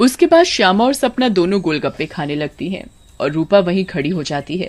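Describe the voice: Woman at a fairly low pitch with a slightly mellow tone, lively intonation and a moderate pace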